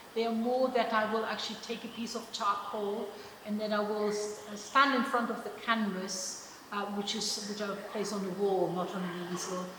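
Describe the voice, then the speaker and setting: Through audible room echo and noticeable background noise, a woman with a German accent speaks at a moderate pace with fairly even intonation. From Germany. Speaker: artist. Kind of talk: interview at exhibition event. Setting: gallery event. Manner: halting, many repetitions and fillers.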